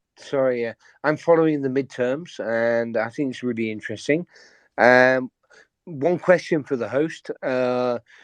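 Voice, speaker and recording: With a British accent, a man speaks fairly slowly at a medium pitch. The audio is dry and close, without echo. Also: ordinary pitch variation. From Britain. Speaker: caller. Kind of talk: call-in question. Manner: halting.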